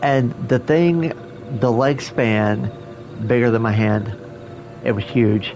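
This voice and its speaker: A very slow man's voice in an American accent with ordinary pitch variation and music in the background. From Oklahoma. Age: 50s. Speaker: video game streamer. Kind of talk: casual live-stream gameplay chat. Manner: halting, many fillers.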